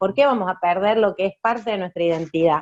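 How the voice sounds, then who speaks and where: A woman with a strong Córdoba accent and lively intonation. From Argentina, Córdoba. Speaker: communication rights activist, speaker. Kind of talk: talk to students.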